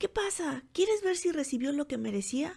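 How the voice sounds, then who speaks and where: Pitching her voice high, the woman performs a put-on character voice. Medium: read story. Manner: brash, careless, commanding.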